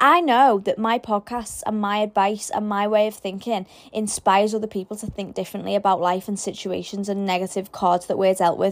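A woman's medium-pitched voice with a British accent, fairly quick and fairly even in intonation, with hardly any pauses. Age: young. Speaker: spiritual podcast host. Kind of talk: solo podcast monologue. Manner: casual, stumbling.

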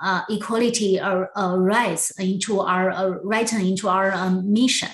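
A woman with a Chinese accent and fairly even intonation, amid noticeable background noise and audible room echo. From southwest China. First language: Mandarin Chinese. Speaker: former attorney and community organizer. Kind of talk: interview storytelling. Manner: halting, many fillers.

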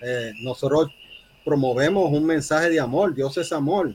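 With an unremarkable speaking voice, a man talks fairly slowly at a fairly high pitch, with ordinary pitch variation. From Puerto Rico. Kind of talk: interview.

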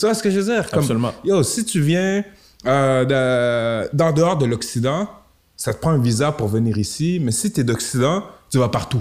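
The intonation is lively and the pace moderate. It is an unremarkable speaking voice. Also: man. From Quebec City, Quebec (Limoilou). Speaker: rapper. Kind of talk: interview. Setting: improvised studio.

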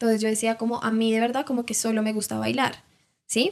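Using an ordinary speaking voice, a woman talks at a fairly quick pace. Her pitch sits fairly high. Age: 20s. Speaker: dancer and entrepreneur. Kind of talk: interview.

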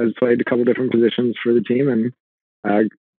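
A man with a Californian accent and a medium pitch. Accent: Californian American. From US West Coast, Los Angeles. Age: 30s. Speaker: fitness and nutrition coach. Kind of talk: casual interview.

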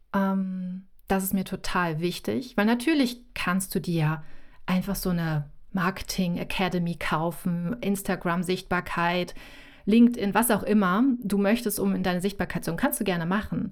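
This woman has an unremarkable speaking voice, medium in pitch, with ordinary pitch variation at a moderate pace. The recording is very clean, with a silent background. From North Sea coast, northern Germany. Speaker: visibility coach. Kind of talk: interview.

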